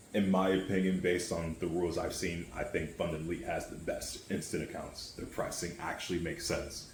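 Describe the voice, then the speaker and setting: Audible room echo surrounds a man whose very deep, low voice moves at a fairly quick pace. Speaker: forex day trader, trading YouTuber. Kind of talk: casual screen-share tutorial. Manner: fast; casual, profane.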